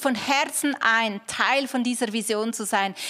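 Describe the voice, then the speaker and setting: Noticeable background noise accompanies a woman speaking. She keeps a moderate pace with ordinary pitch variation. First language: German. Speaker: pastor. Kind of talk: closing prayer and channel outro. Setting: church. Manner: casual, enthusiastic.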